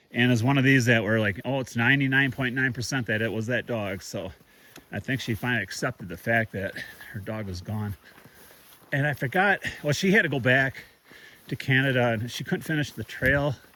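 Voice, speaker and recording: Talking at a fairly quick pace, a man uses ordinary pitch variation. His pitch is medium. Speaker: thru-hiker vlogger. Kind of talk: casual vlog monologue. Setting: outdoors on hiking trail. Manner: loud.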